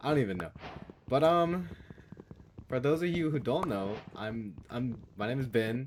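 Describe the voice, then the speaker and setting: A man mumbles with lively intonation, leaving long, frequent pauses. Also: medium pitch for a man, moderate pace. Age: 20s. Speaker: gaming youtuber and college student. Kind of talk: casual gameplay commentary. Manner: mumbling; halting, many fillers and restarts. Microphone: levels unsure, may be too loud or quiet.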